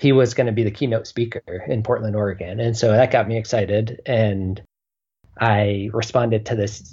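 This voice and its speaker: A man's somewhat breathy, dark, mellow voice at fairly low pitch, with fairly even intonation, over a quiet background. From Southeast Alaska. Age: 30s. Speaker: healthcare entrepreneur. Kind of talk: interview.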